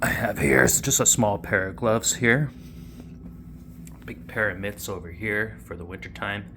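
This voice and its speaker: In a Canadian accent, a man with a fairly low voice and a bright, sharp tone shows vocal fry and lively intonation, his loudness swinging widely between long, frequent pauses. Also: moderate pace. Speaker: cold water plunging vlogger. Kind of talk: casual tutorial. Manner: casual with frequent fillers.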